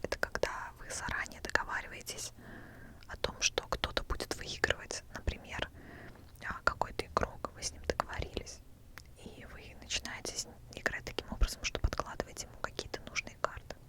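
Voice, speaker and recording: Whispering in a calm tone at a moderate pace, a woman leaves long, frequent pauses, her loudness swinging widely over noticeable background noise. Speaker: ASMR creator, former casino dealer. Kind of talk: whispered ASMR storytelling. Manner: whispered, calm, quiet.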